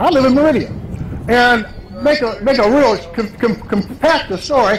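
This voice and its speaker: An extremely high-pitched man with an American accent, ordinary pitch variation and noticeable background noise. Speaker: political candidate. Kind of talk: campaign rally speech. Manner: fast.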